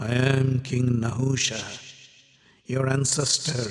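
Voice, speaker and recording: Using a put-on character voice, a man sounds guttural and hissing at a medium pitch and a fairly slow pace. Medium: audio drama.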